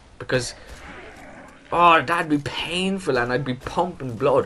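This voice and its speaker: Lively intonation marks this man's moderate-paced speech with an Irish accent. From Ireland. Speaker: gaming YouTuber. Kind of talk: casual Q&A vlog. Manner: animated.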